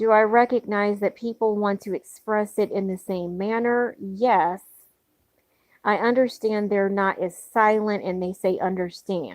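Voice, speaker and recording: This woman talks fairly slowly at a medium pitch with fairly even intonation, an unremarkable speaking voice. The sound is dry and close, with no echo. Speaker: video blogger. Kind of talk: monologue.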